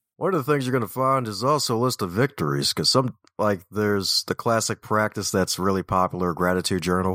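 Talking fast with hardly any pauses, a man with an American accent has a fairly low, resonant voice, a bright, sharp tone and lively intonation, at a fairly quick pace in a dry, close recording with no echo. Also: very even loudness. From Baltimore, US. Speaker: author and speaker. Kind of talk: casual interview. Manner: energetic, animated.

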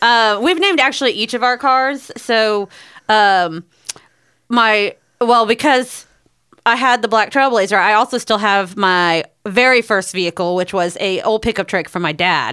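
This woman has a normal speaking voice. Her pitch varies in an ordinary way. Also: fairly high pitch for a woman, moderate pace. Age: 30s. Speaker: podcast co-host, works with songwriters. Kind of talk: casual chat.

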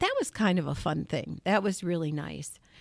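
A woman with an American accent speaks with very wide pitch swings. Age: 60s. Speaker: state senator. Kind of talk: interview. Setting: studio.

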